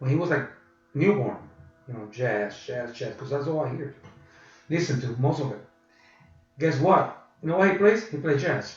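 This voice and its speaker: A man with a Puerto Rican accent and a fairly high pitch, lively intonation and big swings in loudness, a moderate pace broken by long, frequent pauses, plus audible room echo. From Puerto Rico. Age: 60s. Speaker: blues guitarist. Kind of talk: interview.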